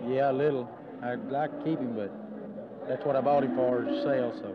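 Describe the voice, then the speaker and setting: A man's voice comes through loud background noise, dry and echo-free, at a moderate speed. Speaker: young livestock show exhibitor. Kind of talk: interview answer. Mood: shy, modest. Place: hall. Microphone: handheld.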